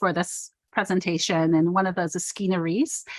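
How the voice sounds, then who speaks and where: In a quiet background, a woman talks at a moderate pace with a medium pitch and a normal speaking voice. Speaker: performance artist. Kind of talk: panel talk over video call.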